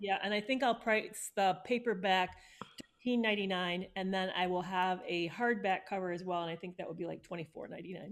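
This woman has a plain, everyday voice at a medium pitch. Her intonation is fairly even and her pace fairly quick.

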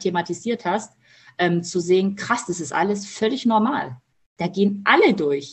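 Breathiness is somewhat present in this woman's voice. She holds a medium pitch with ordinary pitch variation. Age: 30s. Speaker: mother of twins, coaching client. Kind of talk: casual interview.

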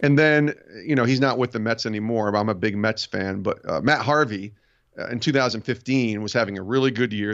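A man with an American accent at a medium pitch, fairly quick in pace, an ordinary speaking voice with ordinary pitch variation. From upstate New York. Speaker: sports podcast host and author. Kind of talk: casual interview chat.

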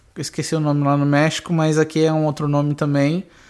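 A fairly high-pitched man speaks at a moderate pace with monotone, flat intonation. The recording is very clean, with a silent background. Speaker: podcast co-host. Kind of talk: casual chat.

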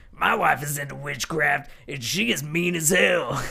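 Putting on a character voice, a man speaks in a gravelly, fairly high tone. His pace is moderate.

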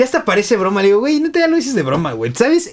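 The voice swings very widely in pitch. Noticeable background noise can be heard. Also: man. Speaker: podcast host. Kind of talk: casual chat.

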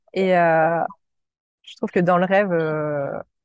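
A woman speaks in a plain, everyday voice at a medium pitch and a fairly slow pace. Her pitch varies in an ordinary way, and the sound is dry and close with no echo. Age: 30s. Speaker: entrepreneur. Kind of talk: interview.

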